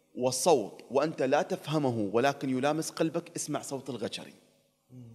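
This man has an Emirati accent and speaks at a fairly slow pace. His pitch shows ordinary variation. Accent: Emirati Gulf Arabic. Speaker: TV presenter and traveler; TV presenter. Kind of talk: casual interview chat. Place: studio. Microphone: studio mic.

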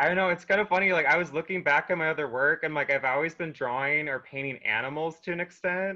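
Very fast male speech, fairly high-pitched, with ordinary pitch variation and hardly any pauses over a quiet background. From North Dakota, US. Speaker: artist; interviewee. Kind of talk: interview. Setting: video call, at home. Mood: cheerful, animated. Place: home room. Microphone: video call.

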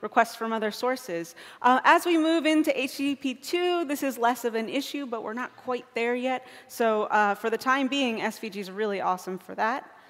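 With lively intonation and a high pitch, a woman talks at a moderate pace over a quiet background. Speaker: conference speaker. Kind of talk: lecture. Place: stage.

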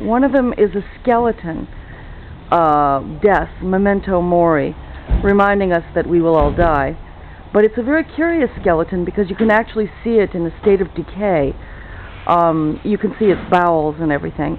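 A woman with an ordinary speaking voice talks at a moderate pace and fairly low pitch, with ordinary pitch variation and light background noise. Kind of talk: casual travel commentary. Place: street. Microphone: phone near.

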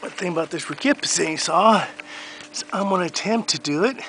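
A man's voice sits at a high pitch with ordinary pitch variation, heard as a dry sound with no echo over light background noise. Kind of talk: casual vlog chat. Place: garden.

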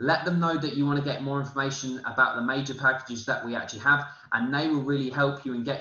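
In a British accent, the speech comes at a very fast pace with audible room echo. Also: man. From UK. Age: 20s. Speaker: forex trading promoter. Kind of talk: sales pitch. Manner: halting. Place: home room. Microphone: webcam.

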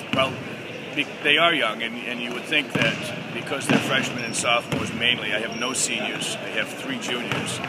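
Loud background noise surrounds a man who talks at a moderate pace. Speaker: high school basketball coach. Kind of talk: interview answer.

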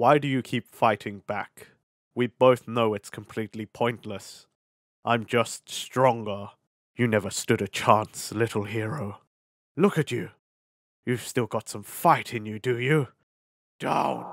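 A man at a fairly slow pace, with long, frequent pauses. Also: medium pitch for a man. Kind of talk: voice acting roleplay audio. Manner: mocking, condescending, possessive.

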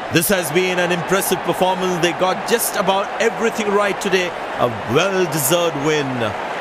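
Over crowd noise in the background, the speaker has an animated tone, a moderate pace, very even loudness and ordinary pitch variation. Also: man, high pitch for a man. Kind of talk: live cricket commentary. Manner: animated, excitable play-by-play delivery.

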